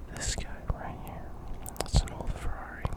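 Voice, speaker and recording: Noticeable background noise surrounds a man who is whispering. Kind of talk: ASMR show-and-tell. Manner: whispered; casual, hesitant.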